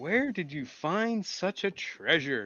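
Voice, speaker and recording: A croaky put-on character voice at a fairly slow pace, with very wide pitch swings. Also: man. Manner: greedy, curious.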